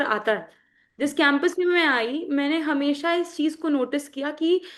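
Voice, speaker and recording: A woman's high-pitched voice with a Magahi accent, over a quiet background. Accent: Magahi accent in her Hindi. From Bihar, Magahi-speaking region. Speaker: party spokesperson. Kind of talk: interview. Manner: halting, with repetitions.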